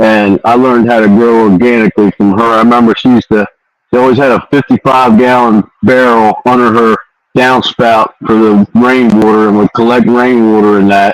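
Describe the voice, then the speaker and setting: A man's monotone, flat delivery at a fairly quick pace, with very even loudness and a dry, close sound with no echo. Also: medium pitch for a man. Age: 60s. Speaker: veteran organic grower. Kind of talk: casual chat.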